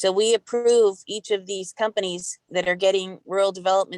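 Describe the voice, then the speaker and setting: A woman talks at a moderate pace with fairly even intonation and medium pitch. It's an ordinary speaking voice, with a dry, close sound and no echo. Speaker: utility regulator. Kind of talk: virtual meeting report.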